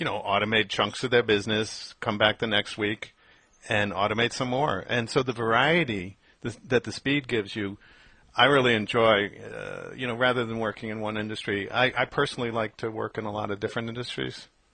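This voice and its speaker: A man with a normal speaking voice talks at a fairly quick pace, medium in pitch and fairly even in intonation. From New York. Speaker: FileMaker developer, podcast host. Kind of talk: casual podcast chat. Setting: Skype call.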